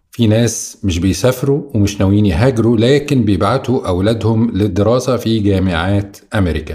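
Using lively intonation, a man with a fairly low pitch talks at a moderate pace in a normal speaking voice. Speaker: podcast interviewer. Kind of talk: interview.

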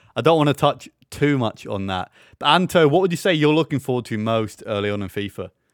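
In an ordinary speaking voice, a man talks at a fairly quick pace with lively intonation. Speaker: podcast host. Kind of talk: casual chat.

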